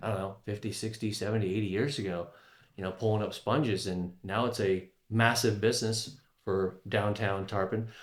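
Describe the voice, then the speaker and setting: Speaking at a moderate pace with fairly even intonation, a man with an American accent has an unremarkable speaking voice at a fairly low pitch. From Florida, Tampa Bay area (Palm Harbor). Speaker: podcast host. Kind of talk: casual interview chat.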